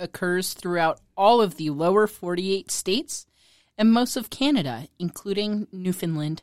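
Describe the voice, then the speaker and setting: Speaking at a moderate pace in an ordinary speaking voice, a woman at medium pitch uses lively intonation in a dry, close sound with no echo. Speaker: quiz presenter, producer. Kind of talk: reading quiz clues.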